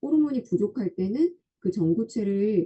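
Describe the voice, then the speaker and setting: At a moderate pace, a woman with a medium, somewhat breathy voice swings her pitch very widely. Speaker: health product presenter explaining body scan results. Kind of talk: online lecture. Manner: halting with filler sounds. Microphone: too quiet for listeners.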